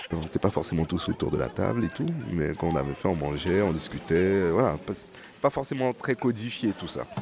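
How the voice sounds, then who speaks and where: Lively intonation and a fairly quick pace come through noticeable background noise. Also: man, very deep, low pitch for a man. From French Guiana / Haiti. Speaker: journalist. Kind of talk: radio feature, casual recollection.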